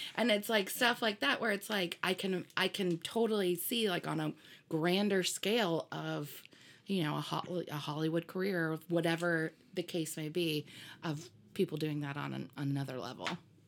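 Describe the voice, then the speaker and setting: On a very clean recording with a silent background, the speaker talks at a moderate pace with an American accent and vocal fry. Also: woman, fairly low pitch for a woman, ordinary pitch variation. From US Midwest (Indiana). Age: 30s. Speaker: wedding music provider. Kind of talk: casual chat.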